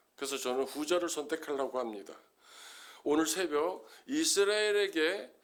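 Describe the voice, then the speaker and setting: This is an ordinary speaking voice, a man's, fairly high in pitch. He talks at a moderate pace with lively intonation. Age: 60s. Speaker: pastor. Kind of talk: sermon.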